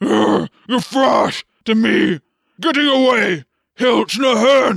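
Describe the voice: A woman shouts in a put-on character voice with a fairly high pitch and vocal fry, going at a very slow pace with ordinary pitch variation, the sound dry and close with no echo on a very clean recording with a silent background.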